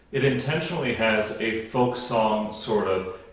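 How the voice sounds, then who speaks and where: A man at a fairly slow pace, amid noticeable background noise and audible room echo. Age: adult past college. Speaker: opera singer and podcast host. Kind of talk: educational talk introducing a song. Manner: conversational.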